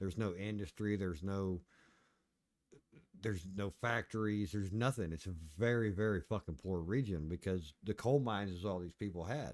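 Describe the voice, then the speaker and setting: A man with a fairly low voice talks in an Appalachian accent. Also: ordinary pitch variation, moderate pace, very clean recording, silent background. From Appalachia, US. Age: 50s. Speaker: video game streamer. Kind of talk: casual chat. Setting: live stream.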